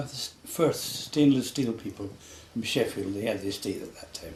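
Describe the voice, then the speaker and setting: Against noticeable background noise, a man with a west Highland Scottish accent speaks with ordinary pitch variation. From Scotland, west Highlands. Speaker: local elder interviewed about local history. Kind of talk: oral history interview.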